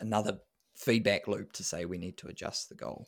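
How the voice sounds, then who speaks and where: The recording is very clean, with a silent background. A man with a New Zealand accent speaks at a moderate pace and a fairly low pitch. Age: 30s. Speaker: running coach and sports scientist. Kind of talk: casual interview.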